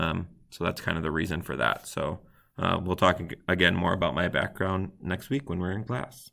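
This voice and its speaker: Vocal fry marks a man's very deep, low voice, which carries lively intonation. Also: moderate pace. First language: not English. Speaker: teacher. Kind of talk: tutorial. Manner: occasional stammering.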